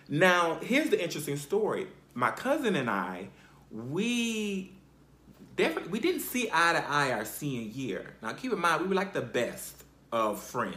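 With noticeable background noise behind him, a man speaks in an animated tone at a moderate pace, his high pitch swinging very widely. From South Carolina. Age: 30s. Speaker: podcast host. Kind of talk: personal storytelling.

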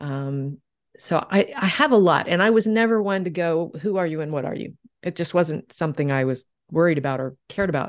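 Lively in intonation and fairly quick, a woman with a fairly low pitch speaks in a plain, everyday voice over a quiet background. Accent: American. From US South. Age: 60s. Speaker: energy healer and novelist. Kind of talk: casual chat.

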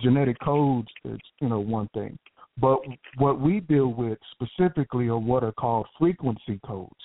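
Speaking with a Southern US accent, a man keeps a medium pitch, ordinary pitch variation and a moderate pace. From Texas, Houston. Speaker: caller, scientist and inventor. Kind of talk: call-in conversation.

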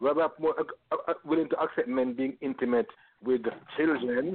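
A man with a Jamaican accent talks at a moderate pace, his fairly high voice carrying lively intonation. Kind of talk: casual chat. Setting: studio.

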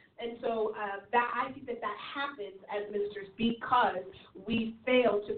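Her voice sits at a fairly high pitch for a woman. Noticeable noise can be heard behind her. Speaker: church leader panelist. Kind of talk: ministry teaching discussion. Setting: internet radio show.

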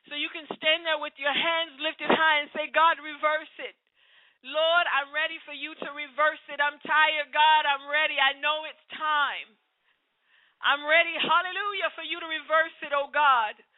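Her high-pitched voice stays monotone and flat as this woman speaks. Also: moderate pace. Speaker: preacher. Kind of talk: sermon with prayer; fervent prayer. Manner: fervent, impassioned, pleading; exhorting, rhythmic, repetitive.

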